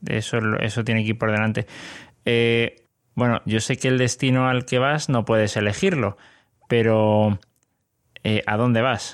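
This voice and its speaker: A man with a Spanish accent speaks fairly slowly at a medium pitch, with long, frequent pauses. His intonation is fairly even and his loudness very even. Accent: Spanish (Spain). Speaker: podcast host. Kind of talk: interview.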